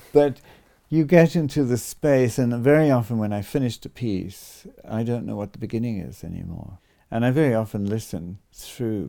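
Over a silent background on a very clean recording, a man talks at a moderate pace in a medium pitch, his dark, mellow tone carrying lively intonation and big swings in loudness. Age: 70s. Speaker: composer. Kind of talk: interview. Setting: recorded the morning after his birthday concert.

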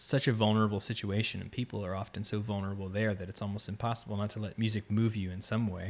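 In an American accent, a man speaks very fast with a fairly low pitch and flat, monotone intonation. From Florida, near Orlando. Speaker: musician in residence. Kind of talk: interview.

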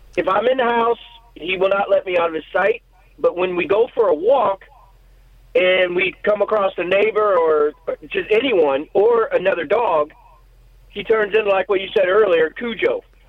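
Noticeable background noise sits behind this recording. A man with a high pitch talks at a moderate pace. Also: ordinary pitch variation. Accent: American. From Missouri. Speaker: caller. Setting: phone call.

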